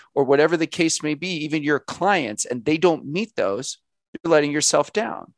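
Against a quiet background, a man with an ordinary speaking voice talks with a fairly high pitch and ordinary pitch variation, in a dry, close sound with no echo. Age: 30s. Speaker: author. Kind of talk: interview.

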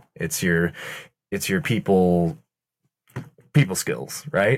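The man's pitch is very deep and low. His intonation is lively. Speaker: opera singer, baritone. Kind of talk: casual chat and game play.

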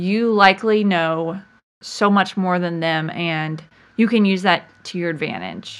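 Her voice is an unremarkable speaking voice at a medium pitch. The woman talks at a fairly slow pace with fairly even intonation against a quiet background. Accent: American. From Virginia Beach, Virginia, US. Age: 30s. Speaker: nurse and LEMS patient. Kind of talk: interview, personal story.

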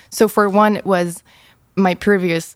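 A woman with a German accent and monotone, flat intonation. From Germany. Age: 20s. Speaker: university student. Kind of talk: casual chat.

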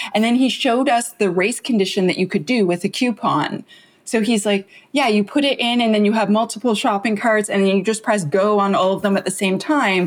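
A woman with a normal speaking voice and a fairly high pitch talks at a fairly quick pace with ordinary pitch variation and very even loudness, in a very clean recording with a silent background. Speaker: security author and founder. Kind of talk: casual interview chat.

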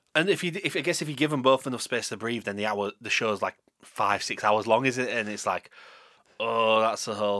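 In a Yorkshire accent, a man with a medium pitch and a bright, sharp tone talks at a fairly quick pace with ordinary pitch variation in a very clean recording with a silent background. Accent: Yorkshire, Leeds. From Yorkshire, England. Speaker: radio host. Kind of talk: casual chat. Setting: studio.

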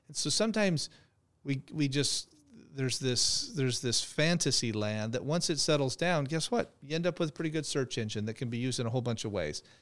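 A man with an American accent speaks in a plain, everyday voice at a fairly high pitch, with lively intonation and a fairly quick pace, on a very clean recording with a silent background. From Phoenix, Arizona. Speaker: trucking company executive. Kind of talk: interview.

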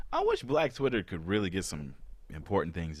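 A man speaks in an animated tone. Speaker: podcast host. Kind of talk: casual banter with comedic bits. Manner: joking, animated, interrupts often.

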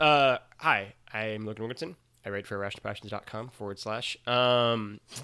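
In a Midwestern accent, a man speaks at a fairly slow pace with fairly even intonation and a bright, sharp tone. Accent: American Midwestern. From Missouri, US. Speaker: writer and podcaster. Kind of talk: casual chat. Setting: remote call.

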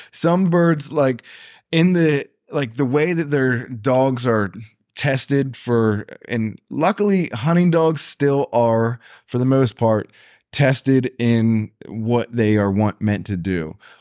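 On a very clean recording with a silent background, a man with an American accent speaks at a very slow pace. His medium pitch carries lively intonation, and the sound is dry and close with no echo. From Pennsylvania. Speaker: dog trainer. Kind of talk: casual chat. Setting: studio.

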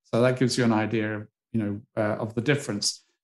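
Here a man talks with a British accent. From UK. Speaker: retired psychology professor. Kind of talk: interview. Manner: animated.

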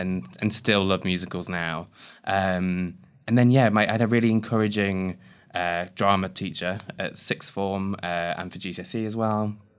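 In an East Midlands accent, a man talks at a moderate pace with fairly low pitch and fairly even intonation on a very clean recording with a silent background. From Leicestershire, England. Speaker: playwright. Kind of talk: casual interview.

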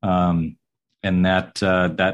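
This man has a very deep, low-pitched voice. He speaks with an American accent. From US South (southern Georgia). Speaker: architect. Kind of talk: interview.

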